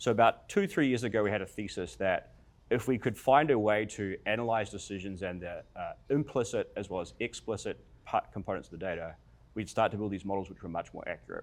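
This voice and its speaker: On a very clean recording with a silent background, a man with a New Zealand accent speaks at a fairly quick pace, with a fairly low pitch and ordinary pitch variation. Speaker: tech company founder, panelist. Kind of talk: panel discussion.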